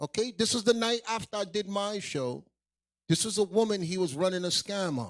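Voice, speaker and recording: Loud and at a moderate pace, a man speaks in a high pitch with ordinary pitch variation. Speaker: livestream show host, religious teacher. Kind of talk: livestream show hosting. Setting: livestream video call.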